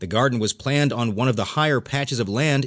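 A man talks at a moderate pace in a normal speaking voice, medium in pitch with lively intonation. The background is quiet. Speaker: audiobook news narrator. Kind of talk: formal newsreading. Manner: formal, steady and measured; neutral, even newsreader delivery.

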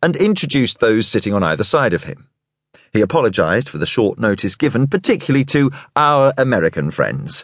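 A man with a British accent, dramatic in tone, at a fairly quick pace against a quiet background. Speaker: audiobook narrator. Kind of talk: audiobook narration of a thriller, reading prose aloud and voicing characters' dialogue. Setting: studio recording. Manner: dramatic, measured and suspenseful, shifting tone for each character; formal, polished, clear British delivery.

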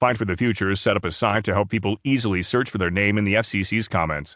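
Against a quiet background, a man speaks very fast. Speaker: audiobook narrator. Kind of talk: news reading. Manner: formal, even-paced, neutral newsreader delivery.

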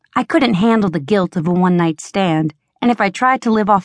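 At a moderate pace, a woman with an ordinary speaking voice talks at medium pitch with lively intonation, the sound dry and close with no echo against a quiet background. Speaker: audiobook narrator. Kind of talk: dramatic first-person audiobook narration, romance fantasy. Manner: intense, urgent, sultry and sardonic; expressive, shifts to heated dialogue.

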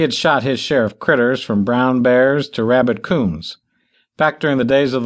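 This is a natural reading voice with fairly even intonation, set against a quiet background.

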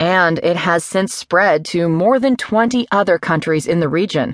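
A woman with a normal speaking voice talks at a moderate pace and fairly low pitch with lively intonation, the sound dry and close with no echo against a quiet background. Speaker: audiobook narrator. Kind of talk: news article read aloud, formal newsreading. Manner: formal; measured, even-paced and neutral.

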